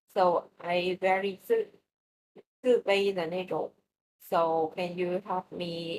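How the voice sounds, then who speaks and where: A woman with a Vietnamese accent, speaking at a very slow pace. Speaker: English learner. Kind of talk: language practice conversation. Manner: halting, many fillers.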